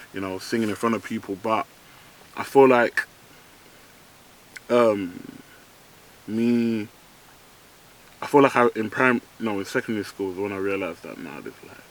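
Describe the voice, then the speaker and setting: In a London accent, a man speaks at a moderate pace and medium pitch with ordinary pitch variation. His delivery has long, frequent pauses and big swings in loudness. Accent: London, multicultural London English. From East London. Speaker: rapper. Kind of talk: casual interview. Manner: hesitant, many ums.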